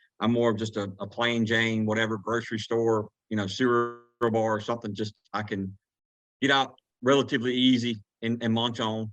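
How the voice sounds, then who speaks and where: This man speaks with a Southern US accent at a moderate pace, his medium-pitched voice flat and monotone. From Georgia, USA. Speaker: turkey hunting guide. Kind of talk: podcast interview answer. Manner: casual, rambling.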